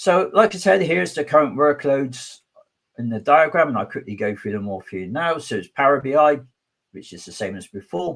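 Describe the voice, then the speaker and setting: A man's fairly quick, fairly high voice with vocal fry, very wide pitch swings and a southwest English accent. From southwest England. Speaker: conference speaker, technology advocate. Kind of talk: technical conference talk.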